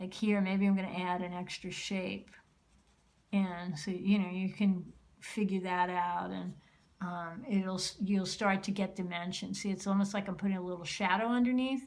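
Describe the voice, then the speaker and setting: This woman's voice sits at a medium pitch and keeps a fairly even intonation. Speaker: art teacher. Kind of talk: tutorial. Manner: slows down and gets calmer while drawing; hesitant, many fillers.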